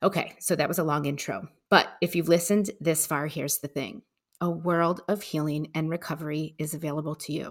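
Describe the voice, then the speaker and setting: On a very clean recording with a silent background, a woman with an American accent speaks with a very deep, low pitch and fairly even intonation. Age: 40s. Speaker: podcast host, adoptee. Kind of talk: casual interview chat; scripted monologue intro.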